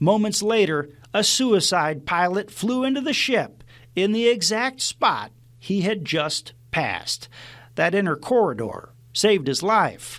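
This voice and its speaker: A man's high-pitched voice with lively intonation at a fairly slow pace. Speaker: TV news reporter. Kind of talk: TV news feature narration.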